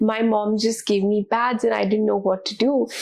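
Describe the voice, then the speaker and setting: A woman talks at a moderate pace and a fairly high pitch, with noticeable noise in the background. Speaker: podcast host. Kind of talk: interview. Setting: office.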